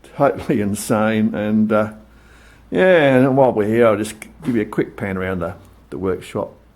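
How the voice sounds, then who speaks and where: A man speaks with an Australian accent at a moderate pace, his pitch fairly low with ordinary variation. His tone is relaxed, and he leaves long, frequent pauses. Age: 60s. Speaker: motorcycle hobbyist vlogger. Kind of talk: casual show-and-tell vlog. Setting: home workshop. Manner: relaxed, hesitant with many fillers.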